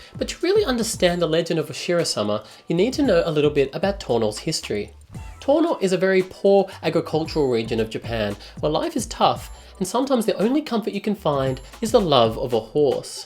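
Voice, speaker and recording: Over background music, a man with an Australian accent talks very fast at a high pitch, with very wide pitch swings. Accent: thick Australian. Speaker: travel vlogger. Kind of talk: comedic travel narration.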